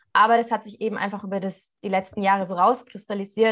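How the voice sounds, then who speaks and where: Against a quiet background, a woman with a normal speaking voice, fairly high in pitch, talks at a fairly quick pace. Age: 20s. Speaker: coach for women. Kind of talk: casual interview chat.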